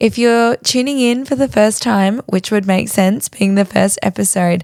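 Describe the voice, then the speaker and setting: A woman with an Australian accent speaks at a moderate pace and medium pitch, her loudness very even. The sound is dry and close with no echo, on a very clean recording with a silent background. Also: ordinary pitch variation. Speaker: podcast host. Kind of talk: podcast intro, casual chat. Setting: home recording on bedroom floor.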